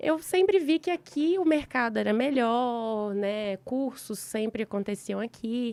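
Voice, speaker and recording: In a normal speaking voice, a woman talks at a fairly slow pace with hardly any pauses, her fairly high pitch moving in lively intonation, captured in a very clean recording with a silent background and a dry, close sound with no echo. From Brazil, Minas Gerais (Belo Horizonte). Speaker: dentist, endodontist. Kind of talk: casual interview chat.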